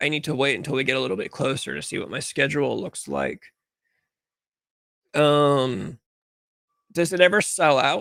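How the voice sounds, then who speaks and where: Quiet and fairly high-pitched, a man with an American accent talks at a moderate pace, with vocal fry and ordinary pitch variation. He leaves long, frequent pauses. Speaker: livestream talk show host. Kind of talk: casual livestream chat. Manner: uneven volume, loud and quiet.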